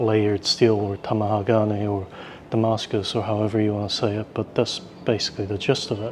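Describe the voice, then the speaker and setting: Man with a fairly low voice, fairly quick pace and flat, monotone intonation, over noticeable background noise. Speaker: travel vlogger. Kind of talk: casual travel vlog. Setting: indoors in a museum.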